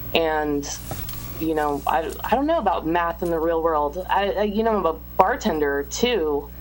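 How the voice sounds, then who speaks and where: A woman talks at a moderate pace in a fairly low pitch. Noticeable background noise runs under her voice. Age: 30s. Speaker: magazine writer. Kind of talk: casual chat.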